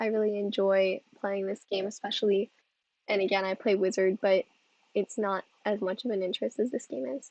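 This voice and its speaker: Her pace fairly quick, a woman talks at medium pitch with fairly even intonation. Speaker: game streamer. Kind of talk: live gameplay stream commentary. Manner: casual, many fillers.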